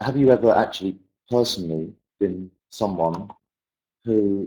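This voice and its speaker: A man's fairly low, dark and mellow voice with a British accent, lively intonation and a fairly slow pace. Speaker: English language teacher. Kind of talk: webinar presentation.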